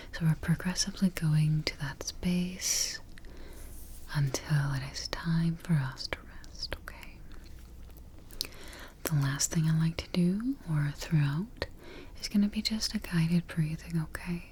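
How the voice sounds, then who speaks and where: Amid noticeable background noise, a soft-spoken woman talks at a very slow pace in a calm, soothing tone. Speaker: ASMR artist playing a sleep expert. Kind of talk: ASMR sleep roleplay with guided relaxation. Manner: soft-spoken, calm, slow, soothing.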